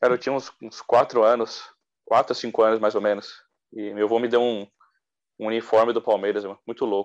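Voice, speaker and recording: The speech moves at a fairly quick pace in a monotone, flat intonation. The background is quiet. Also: man, medium pitch for a man. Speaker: football podcast co-host. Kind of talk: casual chat.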